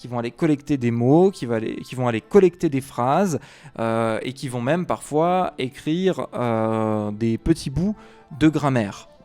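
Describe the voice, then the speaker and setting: A man talks at a fairly slow pace with lively intonation and big swings in loudness. Music plays in the background. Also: medium pitch for a man. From Savoie, France. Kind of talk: educational talk to camera. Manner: hesitant, many filler sounds.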